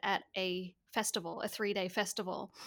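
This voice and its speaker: On a very clean recording with a silent background, a woman talks with a bright, sharp tone. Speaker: marketing and mindset coach. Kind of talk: casual interview chat.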